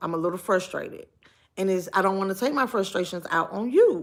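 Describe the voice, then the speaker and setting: Loud and fairly quick, this woman's medium-pitched voice has a bright, sharp tone and ordinary pitch variation on a very clean recording with a silent background. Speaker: live streamer. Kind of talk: casual chat. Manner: animated.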